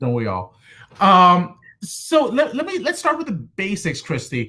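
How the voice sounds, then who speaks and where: A man uses a raised, projected voice that sounds bright and sharp. His pitch is high and swings very widely. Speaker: podcast host. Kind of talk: podcast interview. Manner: fast.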